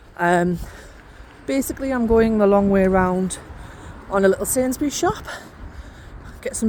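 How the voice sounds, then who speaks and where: Amid noticeable background noise, a woman with a northeast English accent speaks at a moderate pace and medium pitch. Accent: northeast English twang. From northeast England. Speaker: podcast host and coach. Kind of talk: casual chat. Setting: outdoors on a walk.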